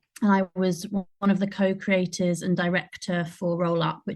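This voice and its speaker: In a fairly low, somewhat breathy voice, a woman speaks with monotone, flat intonation. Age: 30s. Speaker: performer and theatre maker. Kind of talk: online panel discussion. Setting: video call.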